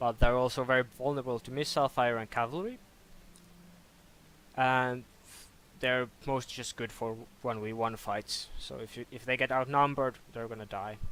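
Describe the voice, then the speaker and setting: At a moderate pace and medium pitch, a man talks with fairly even intonation, big swings in loudness and long, frequent pauses. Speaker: game modder. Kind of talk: tutorial. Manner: halting, with false starts.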